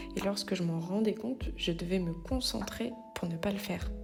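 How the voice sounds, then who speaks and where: A woman talks at a moderate speed, with noticeable background noise and audible echo from the room. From France, Moselle (Lorraine). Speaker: life coach and podcast host. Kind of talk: personal podcast monologue.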